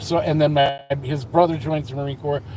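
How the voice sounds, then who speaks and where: Here is a man with a fairly high voice. It comes across somewhat breathy. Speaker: former rock band musician. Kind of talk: casual chat.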